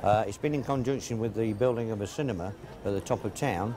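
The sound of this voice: A man's fairly low, dark and mellow voice with ordinary pitch variation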